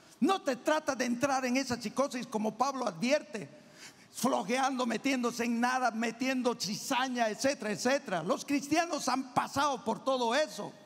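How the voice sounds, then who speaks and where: Over noticeable background noise, a man speaks in an extremely high pitch at a moderate pace, with ordinary pitch variation and very even loudness. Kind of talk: sermon. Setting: church. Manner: animated.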